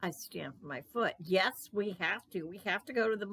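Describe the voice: The voice is plain reading aloud with ordinary pitch variation.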